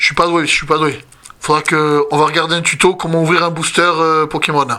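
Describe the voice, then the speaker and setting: A man with a fairly high voice talks at a fairly quick pace in a flat monotone. Background noise is noticeable. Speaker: YouTuber opening card packs. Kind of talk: casual pack-opening commentary. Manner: speaking softly.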